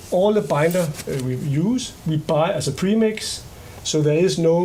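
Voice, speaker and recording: With a Danish accent, a man talks in a high voice with ordinary pitch variation, and audible room echo surrounds him. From Denmark. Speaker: company executive. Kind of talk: public meeting presentation. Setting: public board meeting.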